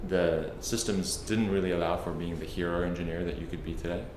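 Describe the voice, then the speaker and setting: Over noticeable background noise and audible room echo, a man with a very deep, low pitch and a slight South African accent talks at a fairly quick pace with fairly even intonation. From South Africa, Cape Town. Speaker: tech product executive. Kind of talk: interview. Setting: office.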